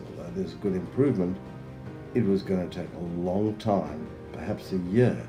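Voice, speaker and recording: With music in the background, a man speaks at a moderate pace in a very deep, low pitch that moves in very wide swings. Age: 70s. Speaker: fitness program client. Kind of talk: client testimonial.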